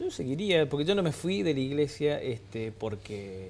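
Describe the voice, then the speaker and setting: Over light background noise, a man speaks at a moderate pace with lively intonation. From Argentina, Córdoba. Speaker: former priest. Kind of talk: TV interview. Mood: calm, reflective. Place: studio. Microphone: lapel.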